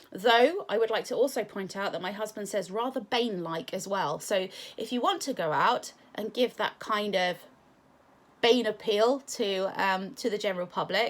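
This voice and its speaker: This woman speaks with a British accent. Her pitch is fairly high, with ordinary variation. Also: moderate pace. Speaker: product reviewer. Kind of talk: product review. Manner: casual with many fillers.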